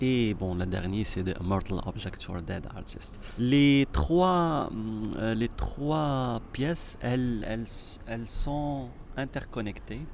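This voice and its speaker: Recorded with audible room echo, a man speaks at a very slow pace with hardly any pauses, using a medium pitch and lively intonation. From Morocco. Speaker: artist and choreographer. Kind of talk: interview. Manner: halting.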